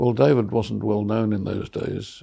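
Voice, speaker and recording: With vocal fry and an Australian accent, a man speaks at a moderate pace and a fairly low pitch. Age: 80s+. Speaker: artist. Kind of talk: oral history storytelling. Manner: warm, humorous.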